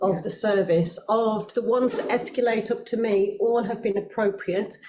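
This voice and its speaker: A woman talks at a moderate pace with a fairly high pitch. Audible room echo and noticeable background noise fill the recording. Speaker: children's services senior manager. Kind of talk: committee meeting answers. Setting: council committee meeting.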